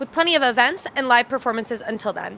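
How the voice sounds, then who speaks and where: A woman speaks in a raised, projected voice at a very fast pace. Noticeable background noise can be heard. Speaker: multimedia journalist. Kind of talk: TV news report.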